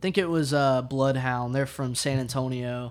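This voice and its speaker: A man with a Southern US accent, medium pitch and fairly even intonation, on a very clean recording with a silent background. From Arkansas. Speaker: music promoter and musician. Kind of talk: casual chat.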